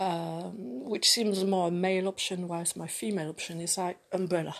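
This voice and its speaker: Speaking with a French accent, a woman uses a fairly low pitch and a fairly slow pace over a quiet background. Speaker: vlogger. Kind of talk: personal monologue. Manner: halting, many fillers.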